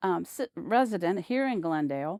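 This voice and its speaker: A woman speaks at a fairly slow pace with very wide pitch swings. The sound is dry and close with no echo, in a very clean recording with a silent background. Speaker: local history interviewer. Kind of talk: interview questions.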